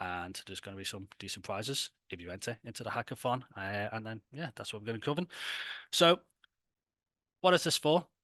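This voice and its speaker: A man with a Liverpool accent at medium pitch, fairly quick but with long, frequent pauses, very wide pitch swings, big swings in loudness and a bright, sharp tone, in a dry, close sound with no echo and a quiet background. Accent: Scouse. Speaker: tech company founder presenting a hackathon. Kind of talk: online presentation. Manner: casual, filler-heavy.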